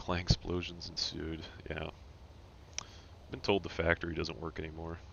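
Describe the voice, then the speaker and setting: Soft-spoken, a man with a very deep, low pitch talks at a moderate pace in a monotone, flat way. His loudness swings widely, and he leaves long, frequent pauses. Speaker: gaming live streamer. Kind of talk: live stream gameplay chat. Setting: home, roommate nearby. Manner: casual, improvised; soft-spoken earlier, louder now.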